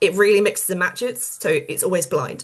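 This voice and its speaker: A woman talks at a very fast pace with a British accent. Her voice sits at a medium pitch and is somewhat breathy. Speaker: publishing professional giving career advice. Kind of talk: webinar presentation. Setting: online webinar with screen sharing.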